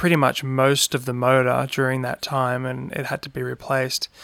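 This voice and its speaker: With an Australian accent, a man speaks at a moderate pace and medium pitch in a monotone, flat intonation, the sound dry and close with no echo. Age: 30s. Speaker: podcast host. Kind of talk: casual monologue.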